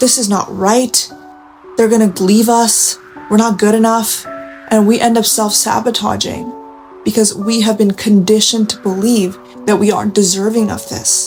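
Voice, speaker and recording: Music plays in the background as a woman talks. Her pitch is fairly high and her intonation lively. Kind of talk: late-night confessional talk to camera. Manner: soft-spoken, intimate.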